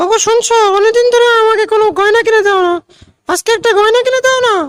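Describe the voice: A cartoonish character voice, female-sounding, at an extremely high pitch and a fairly quick pace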